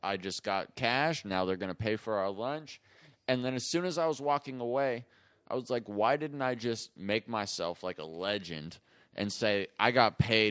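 An ordinary speaking voice with an American accent moves at a moderate pace, its intonation lively. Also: man, medium pitch for a man. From US. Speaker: comedian. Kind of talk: casual chat.

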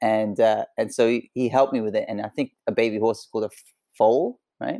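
Here a man speaks with a British accent at a moderate pace. The sound is dry and close, with no echo. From Hong Kong. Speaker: actor. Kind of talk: interview. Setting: video call.

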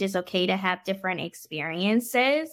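On a very clean recording with a silent background, a woman with an ordinary speaking voice talks at a moderate pace in a medium pitch with ordinary pitch variation. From Washington DC metro area, US. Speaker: physician. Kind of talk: interview.

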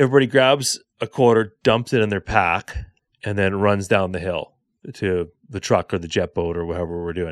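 In a very clean recording with a silent background, a man speaks at a fairly low pitch. His pace is moderate and his pitch varies in an ordinary way. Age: 40s. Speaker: podcast host, hunter. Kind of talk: casual chat. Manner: halting.

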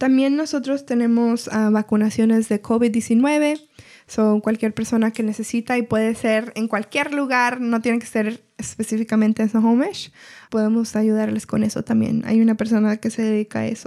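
This woman has a fairly high voice with a dark, mellow tone. Her intonation stays flat and monotone at a moderate pace. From Washington State, US (Everett). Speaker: community health coordinator. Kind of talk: casual interview.

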